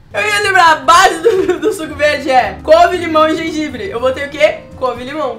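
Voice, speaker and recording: A woman with an extremely high pitch and an animated tone speaks with hardly any pauses over light background noise. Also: ordinary pitch variation, moderate pace. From Brazil. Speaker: cooking youtuber. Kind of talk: casual recipe tutorial. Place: kitchen.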